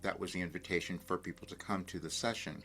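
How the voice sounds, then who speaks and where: A man's voice with music playing in the background. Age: 70s. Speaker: spiritual coach and channeler. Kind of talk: casual talk to camera.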